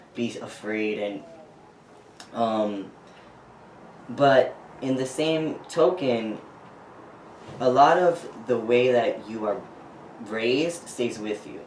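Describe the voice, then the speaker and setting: A man at medium pitch, very slow and with long, frequent pauses, ordinary pitch variation, noticeable background noise and audible room echo. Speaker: transgender man interviewed about his transition. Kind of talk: interview. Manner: expressive, talks with hands; hesitant, with fillers.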